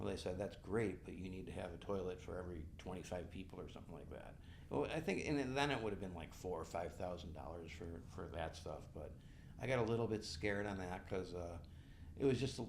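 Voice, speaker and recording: With an American accent, a man talks in a very deep, low, somewhat breathy voice with ordinary pitch variation and audible room echo. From western New York (Buffalo). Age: 60s. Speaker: bike race director and event coordinator. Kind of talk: podcast interview.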